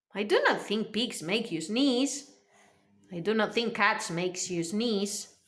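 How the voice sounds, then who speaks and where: A put-on character voice at a fairly slow pace. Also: female-sounding voice, medium pitch for a woman. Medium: read story. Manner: calm, kindly.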